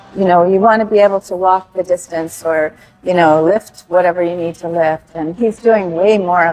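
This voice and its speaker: Over noticeable background noise, a woman talks at a moderate pace in a fairly low voice with fairly even intonation. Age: 60s. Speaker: gym client. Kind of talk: casual interview.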